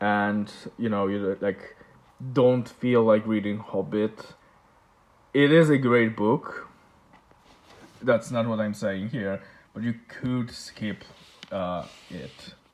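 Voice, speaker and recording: Speaking with a Polish accent, a man with a fairly low pitch moves at a very slow pace, with long, frequent pauses and ordinary pitch variation. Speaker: book collector vlogger. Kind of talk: casual show-and-tell vlog. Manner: halting, many fillers and repeats.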